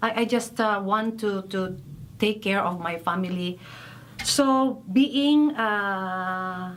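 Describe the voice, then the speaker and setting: In a Filipino accent, a woman speaks at a very slow pace. Her medium-pitched voice has ordinary pitch variation. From Philippines. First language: Filipino language. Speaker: massacre widow, rights defender. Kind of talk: testimony. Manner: halting, hesitant.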